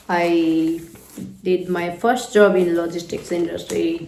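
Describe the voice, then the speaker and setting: Amid noticeable background noise and audible room echo, a woman speaks with a fairly low pitch. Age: 30s. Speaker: vlogger. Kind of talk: personal reflection monologue. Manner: casual, with many fillers.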